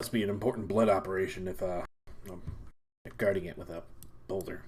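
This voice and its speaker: Putting on a character voice, a man talks at a very fast pace in a raspy, very deep, low pitch. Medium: actual play.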